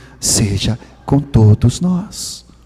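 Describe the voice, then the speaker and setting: Pitch swinging very widely, a man talks while background noise is noticeable. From Sweden. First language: Swedish (speaking Portuguese). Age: 60s. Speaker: preacher. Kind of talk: sermon. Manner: animated.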